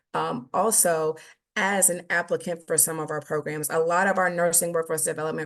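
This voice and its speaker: Her intonation stays fairly even. This woman speaks at a fairly low pitch. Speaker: government nursing program presenter. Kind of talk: webinar presentation. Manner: fast.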